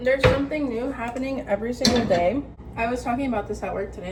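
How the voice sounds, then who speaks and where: A woman's fairly high voice, showing ordinary pitch variation, comes through noticeable background noise. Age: 20s. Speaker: vlogger giving life advice. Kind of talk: casual monologue vlog. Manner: casual, filler-heavy.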